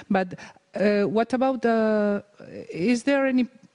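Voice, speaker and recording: In a Spanish accent, a woman speaks very slowly with fairly even intonation, the sound dry and close with no echo. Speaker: event moderator, academic. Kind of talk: moderating a lecture Q&A. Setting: lecture hall with audience. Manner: halting.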